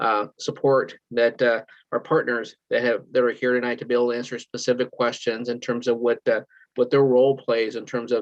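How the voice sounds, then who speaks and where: With monotone, flat intonation, a man talks at a fairly quick pace and a medium pitch. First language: Spanish. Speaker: school superintendent. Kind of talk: virtual town hall remarks. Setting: video call. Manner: fast.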